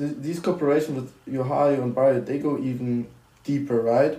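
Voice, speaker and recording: With a German accent, a man speaks at a moderate pace. His tone is dark and mellow. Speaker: student podcast host. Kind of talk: interview.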